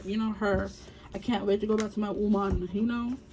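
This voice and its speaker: Amid noticeable background noise, a woman speaks at a fairly quick pace in a medium pitch. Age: 20s. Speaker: tarot reader. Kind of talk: tarot reading, casual chat to viewers. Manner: fast; animated.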